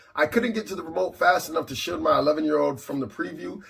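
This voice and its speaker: A man speaks at a very fast pace with a fairly high pitch. Noticeable background noise runs behind him. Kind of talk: religious commentary talk to camera. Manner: indignant, emphatic.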